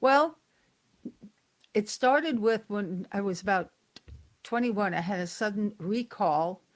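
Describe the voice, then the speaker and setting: Speaking at a very slow pace with an American accent and lively intonation, a woman is heard on a very clean recording with a silent background. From New York state, US. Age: 70s. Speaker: psychic detective and author. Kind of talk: interview.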